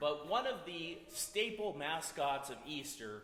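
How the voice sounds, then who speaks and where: A man's fairly high voice amid audible room echo. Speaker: storyteller at a community music event. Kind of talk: humorous storytelling to an audience. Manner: loud.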